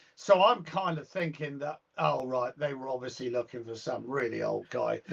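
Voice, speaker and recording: With a British accent, a man speaks at a medium pitch, showing ordinary pitch variation and big swings in loudness. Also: moderate pace. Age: 60s. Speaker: guitarist and music teacher. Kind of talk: casual interview chat.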